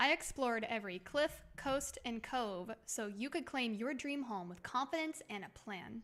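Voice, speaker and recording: Lively intonation carries a woman's high-pitched voice with a bright, sharp tone. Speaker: video game streamer. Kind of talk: live stream recording a video script. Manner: casual; stumbling over words when scripted.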